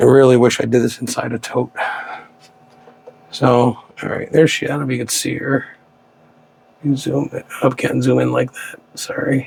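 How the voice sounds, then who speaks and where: Over noticeable background noise, a man whispers with long, frequent pauses. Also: moderate pace. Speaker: tarantula keeper and enclosure builder. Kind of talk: casual hands-on video commentary. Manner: halting; whispering.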